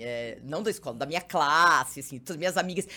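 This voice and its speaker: A woman speaks with vocal fry. Her pitch swings very widely. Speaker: TV journalist and presenter. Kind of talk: casual chat. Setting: studio.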